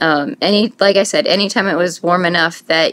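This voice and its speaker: In an American accent, a woman speaks at a fairly quick pace. Her pitch is fairly low, with ordinary variation. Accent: northern Indiana accent, noticed by others. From US Midwest, northern Indiana. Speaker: scrapbooking vlogger. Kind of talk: casual vlog chat. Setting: home, filming on iPad.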